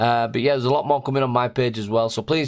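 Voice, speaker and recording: Energetic in tone, a man speaks against a quiet background. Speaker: sim racing commentator. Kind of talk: live stream wrap-up. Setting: live stream. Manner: loud; energetic, chatty.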